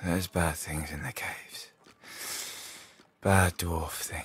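A man mumbles in a put-on character voice, very deep and low in pitch, at a fairly slow pace. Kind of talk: reading game dialogue aloud in character. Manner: sleepy mumbling.

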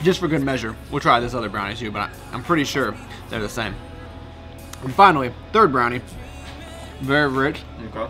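There is clear music in the background. Over it, a man talks at a fairly quick pace. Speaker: food vlogger. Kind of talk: casual vlog chat. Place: cafe. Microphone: phone near.

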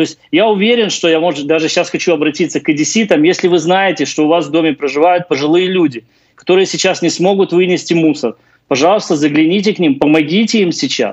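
A man's high-pitched voice at a very fast pace, with ordinary pitch variation and very even loudness, against a quiet background. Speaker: housing and utilities expert. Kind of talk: live remote interview. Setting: remote live link. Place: home room. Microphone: video call.

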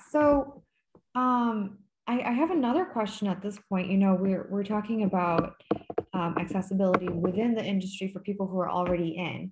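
Amid loud background noise, a woman speaks with long, frequent pauses. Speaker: licensed counselor and channel host. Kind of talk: interview. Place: home room. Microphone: video call.

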